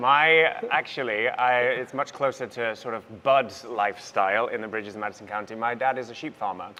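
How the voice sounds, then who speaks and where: With a Welsh accent, a man talks at a fairly quick pace and medium pitch, his bright, sharp tone carrying ordinary pitch variation and hardly any pauses. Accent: Welsh, noticeable. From North Wales. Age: 30s. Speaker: musical theatre actor. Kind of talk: interview on stage. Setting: stage with audience.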